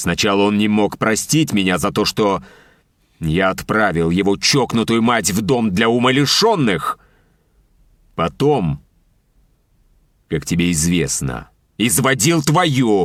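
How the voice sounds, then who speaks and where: A man's growling put-on character voice with very wide pitch swings, very even loudness, a fairly slow pace and long, frequent pauses, on a very clean recording with a silent background. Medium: read story. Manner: harsh, commanding.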